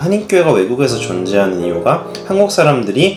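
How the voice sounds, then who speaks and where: Over music in the background and audible room echo, the voice moves at a fairly quick pace with very wide pitch swings. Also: man. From Germany. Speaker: vlogger. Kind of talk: vlog reflection.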